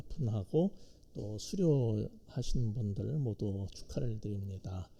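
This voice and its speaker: A man with a dark, mellow, somewhat breathy tone talks very slowly, his intonation lively. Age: 60s. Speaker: pastor and professor. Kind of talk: sermon. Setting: church. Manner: hesitant, many fillers.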